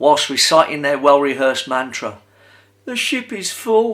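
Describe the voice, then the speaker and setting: Speaking in a normal speaking voice, a man uses lively intonation at a fairly high pitch. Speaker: performance poet. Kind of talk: poetry reading.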